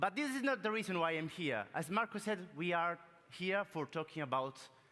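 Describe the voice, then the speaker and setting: A man's fairly high voice in an Italian accent, bright and sharp in tone, with lively intonation at a moderate pace. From Italy. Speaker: business transformation consultant. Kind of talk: keynote talk. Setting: stage with audience. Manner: animated.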